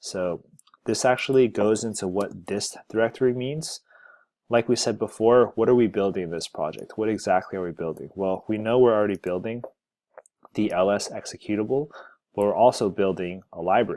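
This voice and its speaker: The tone is dark and mellow, with ordinary pitch variation at a fairly quick pace. The recording is very clean, with a silent background. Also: man, fairly low pitch for a man. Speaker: software developer, tech video creator. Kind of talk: screencast tutorial. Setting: screen recording. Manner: casual.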